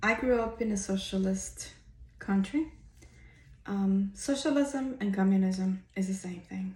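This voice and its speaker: A woman speaks in a Spanish accent at a fairly slow pace. Her voice is somewhat breathy, medium in pitch, with ordinary pitch variation. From Cuba. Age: 50s. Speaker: vlogger. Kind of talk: personal testimony. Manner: hesitant, many fillers.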